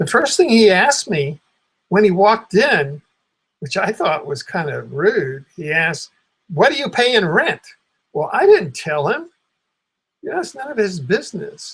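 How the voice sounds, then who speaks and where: Pausing long and often, a man with a high pitch and an American accent talks at a moderate pace, his pitch swinging very widely. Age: 70s. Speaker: retired independent journalist. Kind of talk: personal explanation monologue. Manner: hesitant, repetitive.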